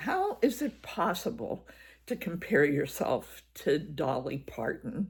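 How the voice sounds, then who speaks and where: Speaking at a very slow pace, a woman of medium pitch shows vocal fry and very wide pitch swings on a very clean recording with a silent background. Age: 80s+. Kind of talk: personal reflective talk to camera.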